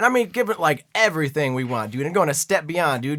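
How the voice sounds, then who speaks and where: Loud and very fast, the voice has a bright, sharp tone on a very clean recording with a silent background. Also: man. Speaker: political podcast co-host. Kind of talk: casual political debate. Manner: animated.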